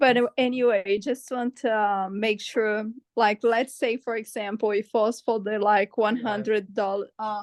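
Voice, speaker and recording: Speaking with a Portuguese accent, a woman talks at a fairly slow pace with a fairly high pitch and ordinary pitch variation. The sound is dry and close, with no echo. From Brazil. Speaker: webinar participant, educator. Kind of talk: webinar Q&A. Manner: halting.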